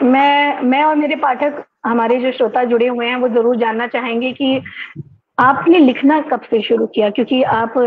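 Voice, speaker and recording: A woman speaks with a high voice. Her intonation stays fairly even. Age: young. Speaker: program host. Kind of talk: interview. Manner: formal.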